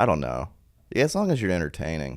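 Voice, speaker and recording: The recording is very clean, and the background is silent. Vocal fry marks the man's voice. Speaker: stand-up comedian. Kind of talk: casual chat. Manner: low energy.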